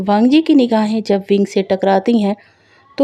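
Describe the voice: Pitch shifts in an ordinary way during plain reading aloud.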